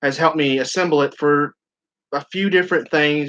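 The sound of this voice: A man talks at a fairly slow pace and a medium pitch. His tone is clear, smooth and fairly bright.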